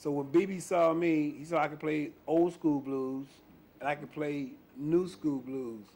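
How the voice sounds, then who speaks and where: In a normal speaking voice, a man with an American accent talks at a fairly slow pace, his pitch fairly high and his intonation fairly even. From US South, Memphis, Tennessee. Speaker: blues bass player. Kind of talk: interview.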